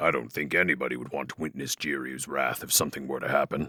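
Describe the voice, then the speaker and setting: A man's put-on character voice, raspy and very deep in pitch, at a very fast pace. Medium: audio drama. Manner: calm, gentle.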